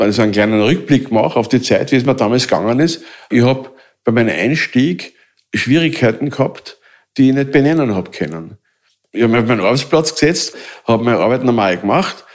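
A man talks at a fairly quick pace with a medium pitch, ordinary pitch variation and very even loudness. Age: 60s. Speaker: mobbing victim, self-help group founder. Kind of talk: personal testimony. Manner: halting.

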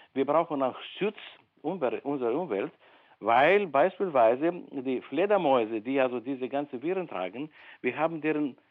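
Speaking at a moderate pace, a man uses lively intonation at a fairly high pitch. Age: 60s. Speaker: medical researcher and professor. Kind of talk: interview. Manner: hesitant, many fillers.

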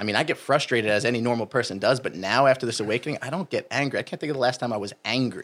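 A man with an American accent talks very fast in a medium pitch, with ordinary pitch variation and hardly any pauses. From US Northeast (New Jersey). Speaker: fitness coach. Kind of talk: casual interview chat.

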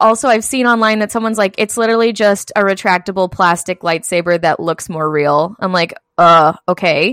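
On a very clean recording with a silent background, a woman uses an ordinary speaking voice at medium pitch, with hardly any pauses. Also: ordinary pitch variation, fairly quick pace, dry, close sound with no echo. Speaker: podcast co-host. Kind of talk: casual chat podcast.

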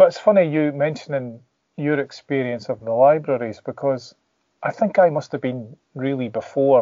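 A man with a Scottish accent speaks at a fairly high pitch and a moderate pace, with ordinary pitch variation. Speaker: comic artist. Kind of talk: casual chat.

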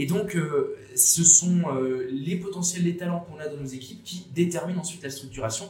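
A man with a high-pitched voice speaks at a moderate pace with hardly any pauses, his loudness swinging widely and his pitch varying in an ordinary way, over noticeable background noise and audible room echo. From France, Bordeaux. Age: 20s. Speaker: student and association founder. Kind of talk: interview. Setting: café.

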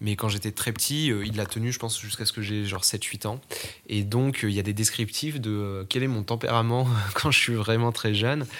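Fairly low male voice at a moderate pace, in a very clean recording with a silent background. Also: fairly even intonation. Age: 20s. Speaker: podcast interviewee. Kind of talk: interview testimony. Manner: halting, many fillers and repetitions.

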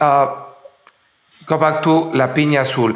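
A man's fairly slow speech with audible room echo. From Mexico, San Miguel de Allende. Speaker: podcast host, hospitality executive. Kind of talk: interview.

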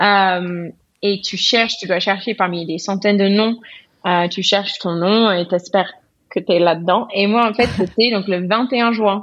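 Her accent is English. The woman talks at a fairly slow pace. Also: medium pitch for a woman, fairly even intonation. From US South. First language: English (speaking French). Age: 30s. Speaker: painter and illustrator. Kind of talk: interview.

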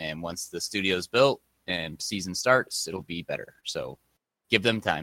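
Recorded dry and close with no echo, a man speaks at a fairly slow pace in a very deep, low voice with a bright, sharp tone and ordinary pitch variation. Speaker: esports podcast co-host. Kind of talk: casual chat about esports matches.

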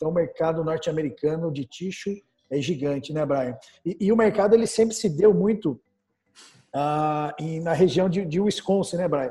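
A man's dark, mellow voice at a fairly high pitch, with ordinary pitch variation and a moderate pace. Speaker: business portal founder and interview host. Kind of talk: casual business interview.

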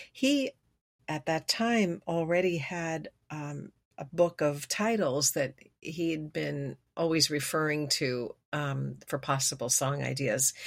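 At a very slow pace, a woman with an American accent and a very deep, low pitch speaks with ordinary pitch variation in a very clean recording with a silent background. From Los Angeles and Geneva, Switzerland. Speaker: singer-songwriter. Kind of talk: interview. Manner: hesitant, many fillers.

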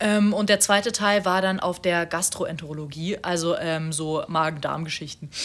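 Noticeable background noise fills the recording. The speaker is a woman. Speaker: podcast co-host, student. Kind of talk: casual chat. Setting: home recording in a flat. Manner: gets louder when worked up.

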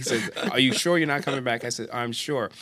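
Very fast, lively speech from a man at a medium pitch, over noticeable background noise. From born in the UK, raised mostly in the US (New York area). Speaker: judge. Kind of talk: casual interview. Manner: halting, many repetitions.

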